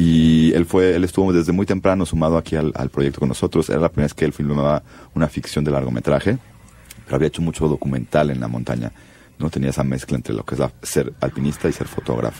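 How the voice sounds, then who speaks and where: A man with a Mexico City accent, very deep and low in pitch, very fast, with ordinary pitch variation and noticeable background noise. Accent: Mexico City (chilango). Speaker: film director. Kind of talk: interview.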